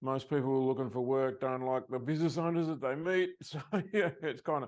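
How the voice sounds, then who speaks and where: Against a quiet background, a man with an Australian accent talks at a fairly quick pace with fairly even intonation. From Australia, Sydney. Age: 70s. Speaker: success coach. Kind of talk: interview.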